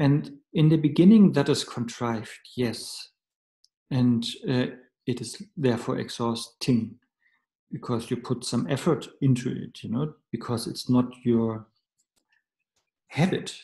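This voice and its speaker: Speaking with a German accent at a fairly slow pace, the voice is somewhat breathy with a dark, mellow tone, ordinary pitch variation and long, frequent pauses. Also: man, medium pitch for a man. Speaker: Buddhist teacher. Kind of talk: dharma teaching. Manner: halting.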